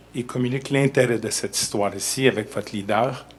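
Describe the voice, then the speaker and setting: A man speaks at a medium pitch with a Canadian French accent. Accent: Canadian French accent, noticeable. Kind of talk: formal speech at press event. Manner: slow.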